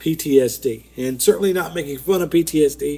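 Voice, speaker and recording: This man mumbles at a moderate pace with ordinary pitch variation. His fairly high voice has a dark, mellow tone. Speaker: podcast co-host. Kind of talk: casual chat. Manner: mumbling.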